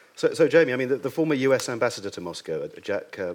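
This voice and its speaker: Talking at a very fast pace, a man is heard on a very clean recording with a silent background. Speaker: panel chair. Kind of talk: panel discussion. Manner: hesitant, fillers.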